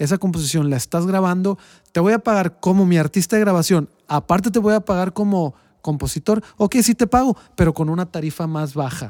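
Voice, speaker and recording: High-pitched and fairly quick, a man speaks in a very clean recording with a silent background, the sound dry and close with no echo. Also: ordinary pitch variation. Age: 40s. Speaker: music teacher and podcast host. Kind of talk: casual chat.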